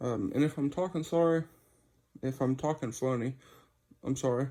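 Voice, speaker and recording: A man's dark, mellow, somewhat breathy voice, fairly high in pitch, with ordinary pitch variation at a moderate pace. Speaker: custom car light builder. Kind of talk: casual video walkthrough. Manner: quiet.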